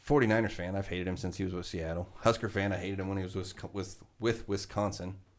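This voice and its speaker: A man with an unremarkable speaking voice and an American accent, fairly low in pitch, fairly quick in pace, and fairly even in intonation. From Nebraska. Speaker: podcast co-host. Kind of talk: casual chat.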